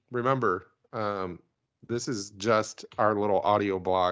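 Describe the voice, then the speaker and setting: A man's normal speaking voice at a fairly low pitch with fairly even intonation against a quiet background. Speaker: podcast host. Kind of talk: casual chat about news, with jokes.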